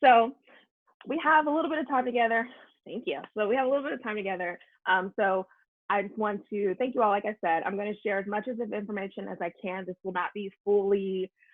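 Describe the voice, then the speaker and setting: Speaking very fast, a woman keeps to a medium pitch. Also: ordinary pitch variation. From Kentucky, Louisville. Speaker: anti-racism workshop facilitator. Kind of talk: workshop talk.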